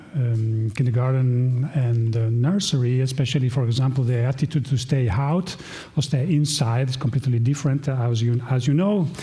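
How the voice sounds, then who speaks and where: A man with an Italian accent talks at a moderate pace and medium pitch, with ordinary pitch variation and very even loudness, amid noticeable background noise and audible room echo. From Italy. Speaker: professor. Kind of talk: conference talk. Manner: halting, with fillers.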